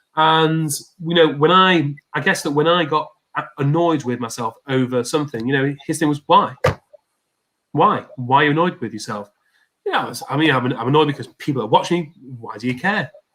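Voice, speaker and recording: A man's fairly high voice with a bright, sharp tone, at a fairly quick pace. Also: ordinary pitch variation. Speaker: guest sharing experience of overcoming a stutter. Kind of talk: live interview. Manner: halting, with repetitions.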